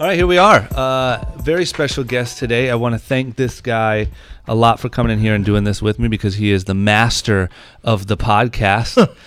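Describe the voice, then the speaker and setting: In an American accent, a man uses an ordinary speaking voice at medium pitch, keeping a moderate pace and ordinary pitch variation. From Ohio. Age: 20s. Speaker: podcast host. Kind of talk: casual interview chat.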